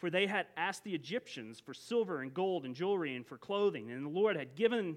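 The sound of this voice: The voice reads in an unforced way. Its intonation is lively.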